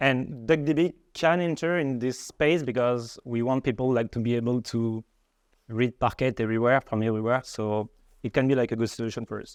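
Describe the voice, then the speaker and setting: Here a man with a French accent talks at a moderate pace, with medium pitch and ordinary pitch variation. The sound is dry and close with no echo, over a quiet background. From France. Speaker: data engineer. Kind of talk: tech presentation. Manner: hesitant, many fillers.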